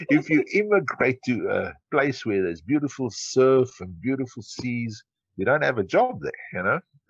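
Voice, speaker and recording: A man speaks in a South African accent at a moderate pace. His pitch swings very widely. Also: medium pitch for a man. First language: Afrikaans. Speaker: entrepreneur. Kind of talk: interview.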